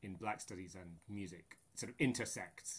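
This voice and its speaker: A man speaks with a Scottish accent. His pace is fairly slow. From Scotland. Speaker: choral conductor and music researcher. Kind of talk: interview conversation. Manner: halting, many fillers and repetitions.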